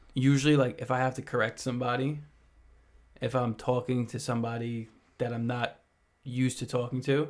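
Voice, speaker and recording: Talking at a fairly quick pace but with long, frequent pauses, a man of medium pitch keeps a monotone, flat intonation. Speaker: podcast co-host. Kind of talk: casual chat.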